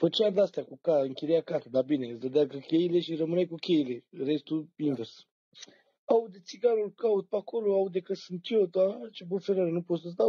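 This man has a high voice for a man, with lively intonation and big swings in loudness. He talks at a moderate pace against a quiet background. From Romania. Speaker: storyteller. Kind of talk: casual chat. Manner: animated. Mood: joking, relaxed. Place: home room. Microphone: phone near.

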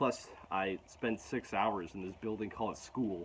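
A man speaks with a fairly low pitch. Light background noise can be heard. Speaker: vlogger. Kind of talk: casual vlog chat. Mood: frustrated, reflective. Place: garden. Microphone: phone near.

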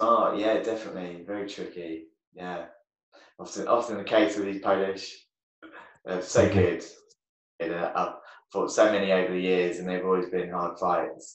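A man with an English accent and a very deep, low pitch, monotone and flat, at a moderate pace with long, frequent pauses and audible room echo. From England. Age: 30s. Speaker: taekwondo champion; podcast guest. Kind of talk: casual chat. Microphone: video call.

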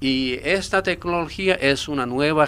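Here a man speaks at a very slow pace. His pitch is fairly high, with ordinary variation. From Japan. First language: Japanese (speaking Spanish). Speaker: expert on secret military bases. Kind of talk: radio interview. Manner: halting, with many fillers.

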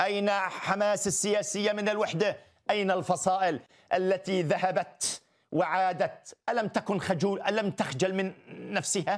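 A man talks at a fairly slow pace with high pitch and fairly even intonation. His loudness stays very even against a quiet background. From Palestine. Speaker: writer and political commentator; commentator guest. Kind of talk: TV studio interview. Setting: studio. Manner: emphatic, rhetorical. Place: studio. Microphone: lapel.

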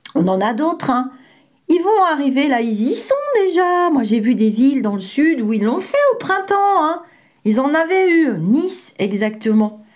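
Speaking at a fairly slow pace, a woman with a high pitch swings very widely in pitch while her loudness stays very even, and audible room echo surrounds her. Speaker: psychic medium and former healthcare worker. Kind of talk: vlog monologue. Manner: hesitant, many fillers.

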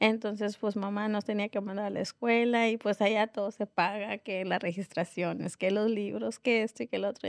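A woman's medium-pitched voice, monotone and flat, at a moderate pace with hardly any pauses, in a quiet background with dry sound and no echo. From northern Mexico, Nuevo Laredo; Mexico. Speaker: restaurant owner; guest. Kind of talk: interview. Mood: calm, reflective. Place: studio. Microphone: studio mic.

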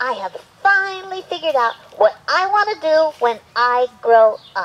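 A cartoonish character voice swings very widely in pitch, sitting high overall at a moderate pace. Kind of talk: children's puppet show. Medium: puppet. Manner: eager, upbeat.

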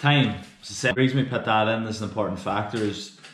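A man with a fairly low pitch talks at a fairly quick pace with fairly even intonation, over light background noise and audible room echo. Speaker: strength coach. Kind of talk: tutorial. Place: home room. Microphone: phone near.

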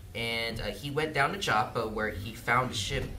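Fairly slow speech from a man amid light background noise. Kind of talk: prayer then sermon. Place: church. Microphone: camera far.

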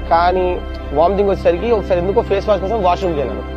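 Clear music plays in the background as a man speaks at a high pitch for a man, the sound dry with no echo. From Hyderabad, India. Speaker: local resident interviewee. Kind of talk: testimonial interview. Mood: positive, praising. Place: street.

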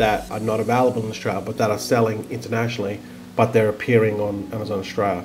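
Fairly quick, fairly low-pitched speech from a man with fairly even intonation and clear music in the background. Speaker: online seller. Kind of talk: tutorial. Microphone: webcam.

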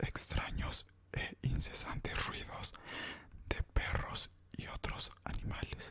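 A soft-spoken man whispering at a very slow pace, with light background noise. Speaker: ASMR channel host. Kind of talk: soft-spoken ASMR trivia narration. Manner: soft close-mic ASMR whisper. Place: home room. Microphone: studio mic.

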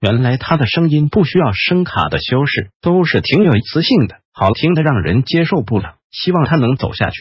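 A man's fairly high, somewhat breathy voice with lively intonation, moderate pace and hardly any pauses. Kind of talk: entertainment gossip narration.

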